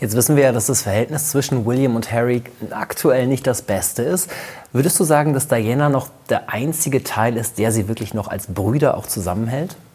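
There is noticeable background noise. The speaker talks at a moderate pace. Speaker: talk show host. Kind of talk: conversational talk show.

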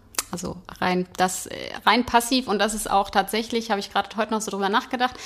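A woman talks at a very fast pace in a monotone, flat intonation over noticeable background noise. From Hanover, Germany. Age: 40s. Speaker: football fan. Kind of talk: casual chat. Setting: stadium.

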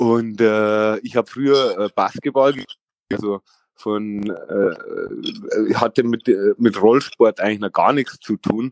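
The recording has a dry, close sound with no echo. A man talks at a very slow pace. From Lower Bavaria, Vilshofen. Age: 30s. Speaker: former streetboard world champion. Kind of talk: interview. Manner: halting, many fillers.

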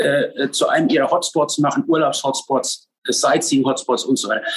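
A man speaks at a fairly quick pace. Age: 50s. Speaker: sports club president and bobsledder. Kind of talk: casual podcast interview.

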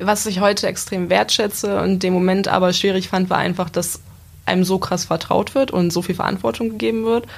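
Speaking at a fairly quick pace, a woman uses a medium pitch with ordinary pitch variation, vocal fry and very even loudness. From Lower Saxony, Gifhorn-Wolfsburg area. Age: 20s. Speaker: apprentice. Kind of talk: casual interview.

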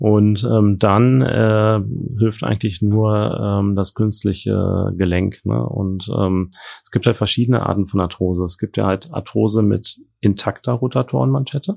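At a fairly slow pace, a man with a normal speaking voice talks in a fairly low pitch with ordinary pitch variation and big swings in loudness. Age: 40s. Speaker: trauma and orthopedic surgeon. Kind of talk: interview. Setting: studio.

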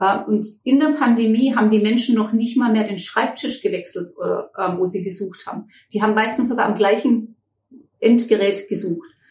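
A somewhat breathy woman's voice, fairly high in pitch, at a moderate pace with ordinary pitch variation. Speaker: management consultant, company director. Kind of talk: interview conversation.

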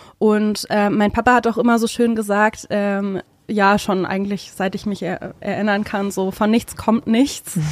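This woman talks at a fairly slow pace with medium pitch. Her intonation is monotone and flat. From Germany, Hesse. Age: 20s. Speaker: beautician and salon owner. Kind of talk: interview, casual chat.

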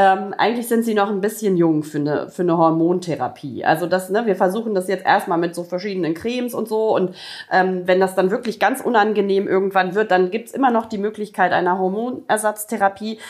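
A woman talks in a normal speaking voice at medium pitch, with ordinary pitch variation and hardly any pauses. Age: 40s. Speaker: podcast co-host. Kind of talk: casual chat.

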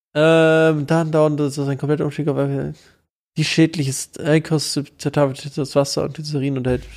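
In a very clean recording with a silent background, a man speaks at a fairly slow pace. His fairly high-pitched voice has a monotone, flat intonation. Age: 20s. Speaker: podcast co-host. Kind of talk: casual chat.

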